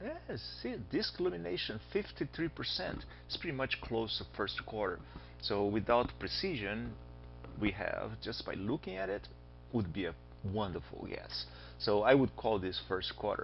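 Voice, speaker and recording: Music plays behind a man speaking with a Brazilian accent. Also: moderate pace. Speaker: astronomy teacher. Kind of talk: lecture. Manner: animated.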